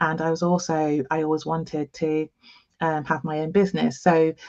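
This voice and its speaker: A woman speaks with a slight East Midlands accent at a very deep, low pitch. Her pace is fairly slow and her intonation fairly even. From England, East Midlands. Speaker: nurse and diversity consultant. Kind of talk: interview. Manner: halting with many fillers.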